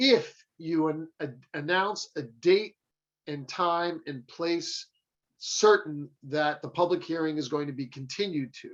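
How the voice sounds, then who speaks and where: With a plain, everyday voice, a man of fairly high pitch speaks at a fairly slow pace, with ordinary pitch variation and big swings in loudness. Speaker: attorney. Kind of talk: lecture.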